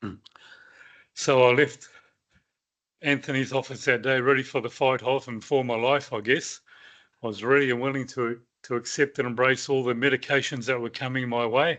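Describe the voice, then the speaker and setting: A man with a New Zealand accent speaks at medium pitch and a moderate pace, his intonation monotone and flat. He leaves long, frequent pauses against a quiet background. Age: 60s. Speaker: cancer survivor. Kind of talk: personal testimony talk. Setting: meeting with live audience. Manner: halting.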